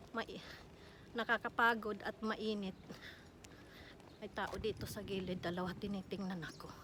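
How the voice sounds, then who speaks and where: A woman's medium-pitched, flat monotone voice at a moderate pace, with long, frequent pauses. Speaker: vlogger. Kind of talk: walking vlog. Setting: outdoors. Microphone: no microphone.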